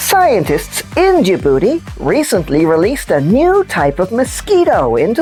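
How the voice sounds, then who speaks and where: Over clear music in the background, a cartoonish character voice speaks at a fairly slow pace. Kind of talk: children's puppet news show.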